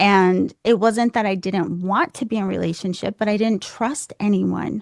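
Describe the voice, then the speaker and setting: A soft-spoken voice moves at a moderate pace with fairly even intonation in a dry, close, very clean recording with no echo and a silent background. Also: woman. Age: 40s. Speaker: wellness counselor and intuitive reader. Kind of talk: casual interview.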